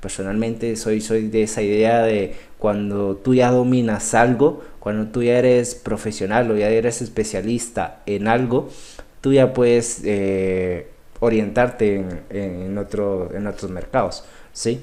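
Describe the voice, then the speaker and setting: A man speaks at a fairly slow pace in a fairly low pitch, with ordinary pitch variation. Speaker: trading instructor. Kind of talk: live online class. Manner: halting, many repetitions.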